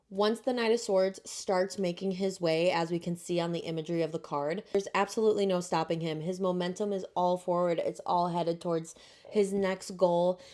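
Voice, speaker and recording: A woman speaks quietly, her intonation fairly even. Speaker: tarot reader, video creator. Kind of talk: tarot tutorial to camera. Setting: spare room at home, late at night. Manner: quiet, keeping voice down; casual, chatty.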